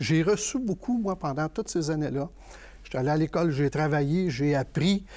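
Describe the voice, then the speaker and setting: Somewhat breathy, with a dark, mellow tone and a fairly high pitch, a man speaks at a fairly quick pace on a very clean recording with a silent background. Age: 60s. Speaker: political candidate. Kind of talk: panel discussion.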